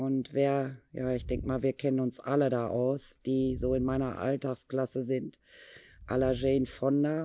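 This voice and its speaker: A woman talks at a moderate pace in a very deep, low voice, her intonation monotone and flat. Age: 50s. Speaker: fitness and yoga instructor. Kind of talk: casual interview.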